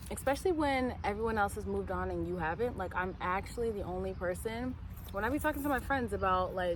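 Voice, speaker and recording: A woman talks at a very fast pace, with audible room echo around her voice. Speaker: vlogger. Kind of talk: casual vlog talk. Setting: outdoors. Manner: soft-spoken.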